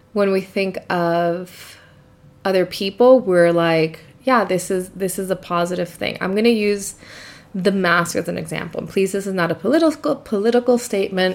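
The woman's pitch is medium for a woman, her pitch variation ordinary, and her pace moderate. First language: not English. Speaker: podcast host, crystal healer. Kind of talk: casual solo monologue. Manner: casual with fillers and self-corrections.

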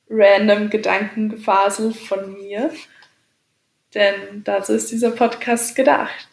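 Her intonation is fairly even. The woman's delivery is very slow. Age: 20s. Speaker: podcaster. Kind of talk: casual monologue. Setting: home, on a couch.

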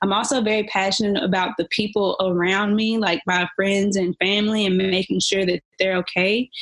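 Unremarkable speaking voice from a woman at medium pitch, fairly even in intonation and very even in loudness, at a moderate pace with hardly any pauses. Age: 20s. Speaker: leasing consultant and makeup artist. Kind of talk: casual chat.

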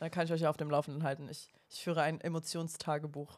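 Very low, deep female voice moving somewhat briskly. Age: 20s. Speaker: spirituality podcast co-host. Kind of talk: casual chat.

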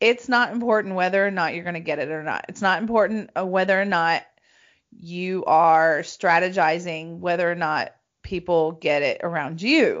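An ordinary speaking voice from a woman, fairly low in pitch, at a moderate pace. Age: 40s. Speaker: intuitive coach and podcast host. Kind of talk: casual chat.

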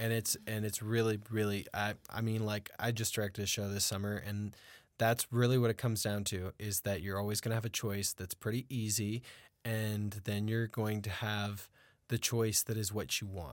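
Flat, monotone delivery from a man at a fairly low pitch and moderate pace, on a very clean recording with a silent background. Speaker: podcast host and acting teacher. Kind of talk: casual interview chat. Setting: studio.

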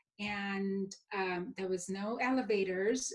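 A woman's somewhat breathy voice at a medium pitch, with fairly even intonation. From India, Mumbai. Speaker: dentist. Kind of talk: casual interview chat.

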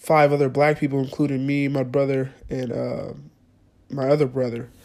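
Using an ordinary speaking voice, a man with an American accent talks at a moderate pace and a fairly high pitch. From California (Clovis, Central Valley). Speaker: podcast host. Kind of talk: casual solo monologue. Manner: casual, many filler words.

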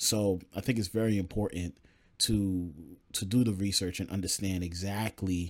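A man with an unremarkable speaking voice talks at a moderate pace, his fairly low pitch held in fairly even intonation. The recording is very clean, with a silent background. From New York. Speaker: podcast co-host. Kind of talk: casual chat.

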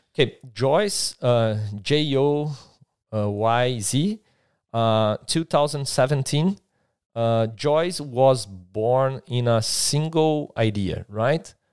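A man with a Brazilian Portuguese accent talks at a very slow pace and a medium pitch. His pitch variation is ordinary, and the recording is very clean with a silent background. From southern Brazil. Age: 30s. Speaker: tech start-up entrepreneur. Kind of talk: casual chat. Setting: studio.

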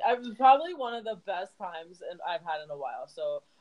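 Lively intonation colors a woman's fairly quick delivery in a normal speaking voice. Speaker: podcast host. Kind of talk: casual chat. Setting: office cubicle.

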